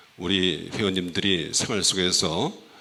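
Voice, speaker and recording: A man's very deep, low-pitched voice has a bright, sharp tone, heard with audible room echo. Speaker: oriental medicine doctor giving health talk. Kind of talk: health lecture to church audience. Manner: halting, many fillers.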